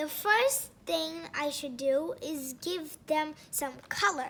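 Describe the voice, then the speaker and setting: A woman's high-pitched, put-on character voice, lively in intonation and very slow in pace. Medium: read story.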